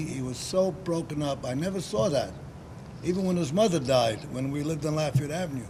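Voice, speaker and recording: The speaker has a New York accent and ordinary pitch variation. Audible room echo is present. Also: man. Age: 90s. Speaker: war veteran. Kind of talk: interview. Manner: halting.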